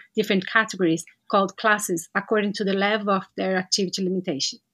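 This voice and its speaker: A woman speaks with a Portuguese accent. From Brazil. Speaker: physiotherapist and para-sport classifier. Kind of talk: interview.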